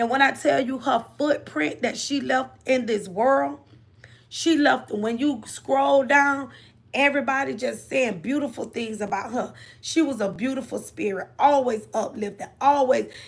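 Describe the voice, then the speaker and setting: This woman's voice sits high, with ordinary pitch variation. She talks at a fairly slow pace. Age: 50s. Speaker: livestream host, motivational talk. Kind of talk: motivational livestream talk. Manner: repetitive, conversational.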